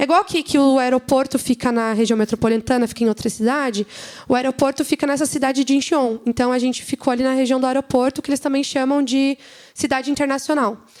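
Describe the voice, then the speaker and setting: A woman with a high pitch speaks very fast, her intonation fairly even and her loudness very even, in a dry, close sound with no echo. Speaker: church leader giving a report. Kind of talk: church presentation with slides.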